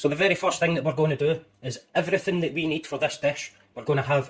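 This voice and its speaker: A man with a Scottish accent talks at a very fast pace, his voice fairly high-pitched and somewhat breathy. His intonation stays fairly even. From Scotland. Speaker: home cooking youtuber. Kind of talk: cooking tutorial. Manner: casual, chatty.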